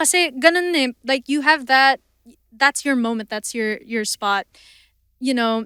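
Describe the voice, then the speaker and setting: A woman with a high pitch raises and projects her bright, sharp voice, speaking at a fairly slow pace with long, frequent pauses and ordinary pitch variation, in a dry, close sound with no echo. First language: not Tagalog. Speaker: singer. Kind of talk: casual chat.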